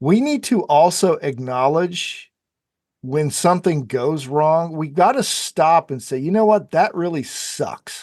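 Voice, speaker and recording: A man with a fairly high pitch speaks at a fairly slow pace with lively intonation against a quiet background. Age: 60s. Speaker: public speaking coach. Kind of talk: interview conversation. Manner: halting, repeats words.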